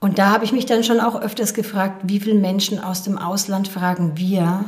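A woman at a medium pitch, moderate pace and fairly even intonation, against noticeable background noise. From Rhön, Lower Franconia, Bavaria. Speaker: former volunteer in South Africa. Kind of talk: interview.

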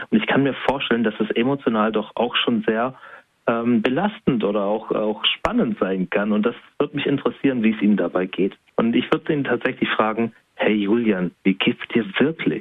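With very even loudness and a moderate pace, a man speaks in an unremarkable speaking voice at medium pitch, showing ordinary pitch variation. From southwestern Germany. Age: 30s. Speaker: self-employed coach. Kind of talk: interview.

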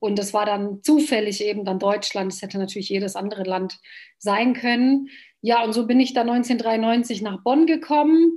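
A woman's fairly high, somewhat breathy voice with a dark, mellow tone, ordinary pitch variation and a moderate pace. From Bosnia, Sarajevo; raised in Germany from age 11. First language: Bosnian (speaking German). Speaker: politician. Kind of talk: interview.

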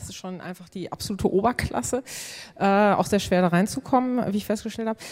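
A woman speaks very fast at a medium pitch, with ordinary pitch variation. Her loudness swings widely. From Münsterland, Germany. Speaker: cartoonist and blogger. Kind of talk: live stage interview. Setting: stage with audience.

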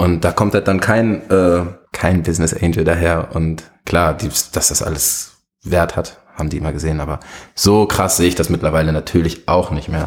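Fairly even in intonation, a man speaks at a moderate pace with a very deep, low pitch. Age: young. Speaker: music industry manager. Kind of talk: interview.

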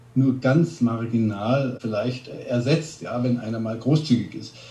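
A man speaks in a dark, mellow tone that is somewhat breathy, his intonation fairly even. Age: 50s. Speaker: restaurant ranking blogger. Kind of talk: interview.

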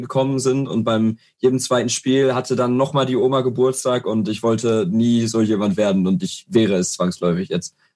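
The man has an unremarkable speaking voice at a medium pitch. His intonation is lively. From Ruhr area, Germany (Herne). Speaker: football fan guest. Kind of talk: casual chat.

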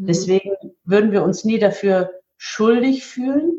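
A woman speaks at a moderate pace with lively intonation. Her tone is dark and mellow, and somewhat breathy. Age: 50s. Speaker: market researcher and event organizer for spiritual teachings. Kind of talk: interview.

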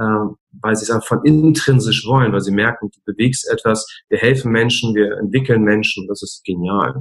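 A man of medium pitch speaks with ordinary pitch variation and big swings in loudness. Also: moderate pace. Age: 40s. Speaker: speaker and coach. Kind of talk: interview. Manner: hesitant fillers.

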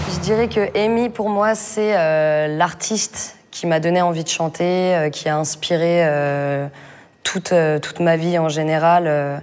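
Very slow speech with ordinary pitch variation. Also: woman, fairly low pitch for a woman. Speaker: rapper and singer. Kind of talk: casual interview. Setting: backstage dressing room.

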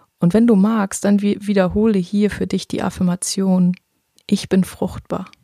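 Somewhat breathy and soothing, a woman speaks at a medium pitch and a fairly slow pace, her dark, mellow, calm tone staying monotone and flat in a dry, close sound with no echo. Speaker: podcast host and meditation guide. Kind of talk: guided meditation. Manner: slow, soothing, calm and gentle, with long pauses; warm, reassuring, intimate, addressing listener as 'du'.

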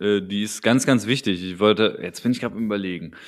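Talking at a fairly quick pace with ordinary pitch variation, a man comes through on a very clean recording with a silent background. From Berlin. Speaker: rap podcast host. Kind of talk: casual chat. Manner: animated.

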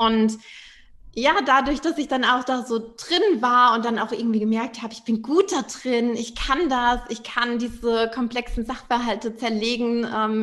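A high-pitched woman's voice at a moderate pace, fairly even in intonation. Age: 20s. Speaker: financial coach and entrepreneur. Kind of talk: casual interview.

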